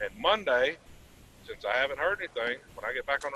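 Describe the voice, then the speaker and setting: Here a man speaks at a fairly quick pace. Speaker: truck driver. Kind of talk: casual chat. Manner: loud.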